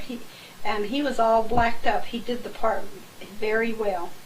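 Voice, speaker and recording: A woman's fairly high voice with an American accent, with audible room echo. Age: 60s. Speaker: family member recounting memories. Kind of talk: oral history recollection.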